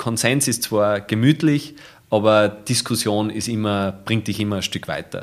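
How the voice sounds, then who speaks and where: On a very clean recording with a silent background, a man speaks at a very slow pace, his fairly low pitch held in fairly even intonation. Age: 30s. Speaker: photographer. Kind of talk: casual interview.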